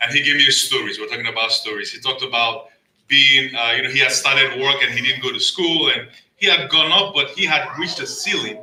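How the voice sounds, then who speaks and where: A man with a Nigerian accent speaks at a fairly quick pace. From Nigeria (Lagos). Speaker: storyteller at community event. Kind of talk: personal storytelling speech.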